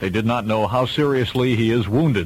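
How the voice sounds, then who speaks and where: With an American accent, a man speaks in a normal speaking voice at a moderate pace, medium in pitch with ordinary pitch variation. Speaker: radio disc jockey. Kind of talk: AM radio DJ break with news updates.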